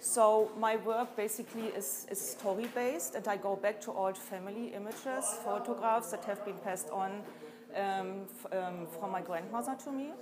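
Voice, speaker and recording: Noticeable background noise sits behind a woman speaking at a moderate pace with ordinary pitch variation. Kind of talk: interview answer. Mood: calm, reflective. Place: hall.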